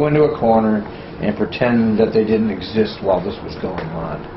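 Someone speaks at a moderate pace. There is noticeable background noise. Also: man. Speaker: retired transit worker, interviewer; interviewer. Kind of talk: casual interview. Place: home room.

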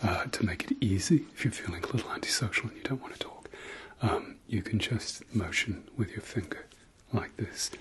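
A man speaks in a whisper with a gentle tone. His pace is moderate. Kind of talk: ASMR role-play. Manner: soft, close, gentle ASMR voice.

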